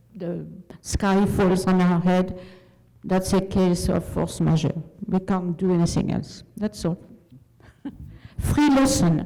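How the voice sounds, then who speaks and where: With noticeable background noise behind her, a woman speaks at medium pitch and a very slow pace, her pitch varying in an ordinary way between long, frequent pauses. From France. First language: French. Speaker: community member. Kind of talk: public comment at meeting. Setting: at a microphone in meeting hall.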